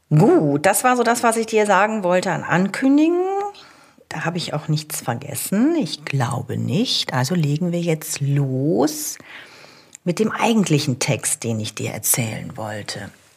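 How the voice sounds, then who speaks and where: A woman with a very deep, low pitch speaks at a fairly slow pace, her voice making very wide pitch swings. Noticeable background noise runs behind her. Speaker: coach and podcast host. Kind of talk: solo coaching podcast.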